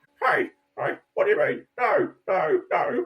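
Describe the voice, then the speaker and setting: In a put-on character voice with a strong Australian accent, the speaker uses an extremely high pitch and very wide pitch swings at a fairly slow pace. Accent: broad Australian. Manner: indignant.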